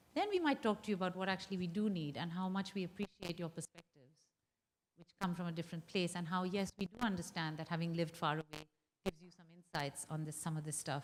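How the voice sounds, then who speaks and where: A woman races along at a very fast pace in an animated tone. Her loudness swings widely. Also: ordinary pitch variation. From India. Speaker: women's rights advocate. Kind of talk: public conversation.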